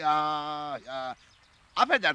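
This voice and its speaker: The sound is dry with no echo as a man talks. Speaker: interviewee. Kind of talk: interview answer. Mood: nostalgic, animated storytelling. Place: garden.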